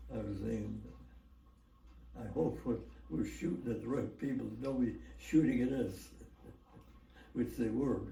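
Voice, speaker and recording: Very deep and low in pitch, a man with an American accent talks at a fairly slow pace with very wide pitch swings and long, frequent pauses. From United States. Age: 80s+. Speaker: war veteran. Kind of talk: interview answer.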